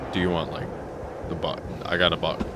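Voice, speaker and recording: A man talking very fast over music in the background. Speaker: gaming YouTuber. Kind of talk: gameplay commentary narration. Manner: casual, joking.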